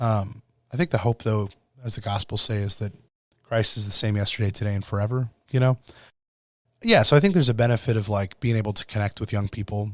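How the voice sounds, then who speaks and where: With a Midwestern American accent, a man talks at a very fast pace and a fairly low pitch, with fairly even intonation and long, frequent pauses, on a very clean recording with a silent background. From US Midwest (northwest Iowa). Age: 30s. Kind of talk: casual chat.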